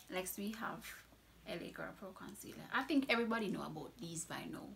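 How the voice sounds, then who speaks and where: With a Jamaican accent, a woman at medium pitch speaks at a fairly quick pace with lively intonation and big swings in loudness, in audible room echo. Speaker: beauty vlogger. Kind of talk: product review. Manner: casual, chatty.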